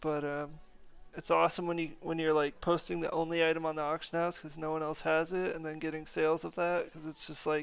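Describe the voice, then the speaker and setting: On a very clean recording with a silent background, a man speaks at a fairly high pitch. His pace is fairly quick and his intonation monotone and flat. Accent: American. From North America. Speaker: gaming streamer. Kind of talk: casual live stream chat. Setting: live stream. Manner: casual, filler-heavy.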